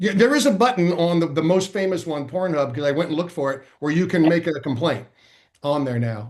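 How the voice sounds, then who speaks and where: A man with an unremarkable speaking voice talks fairly quickly, his pitch varying in an ordinary way. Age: 60s. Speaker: comedian. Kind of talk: casual chat. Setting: podcast panel.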